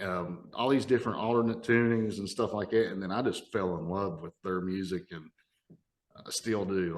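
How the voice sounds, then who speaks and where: Speaking at a moderate pace in an Appalachian accent, a man keeps his fairly low voice fairly even in intonation. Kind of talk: casual podcast conversation.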